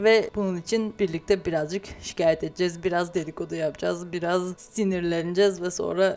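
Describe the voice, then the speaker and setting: This woman's fairly low voice moves at a fairly quick pace in a monotone, flat delivery. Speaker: podcast host, pastry chef. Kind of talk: casual monologue. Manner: hesitant, with laughs.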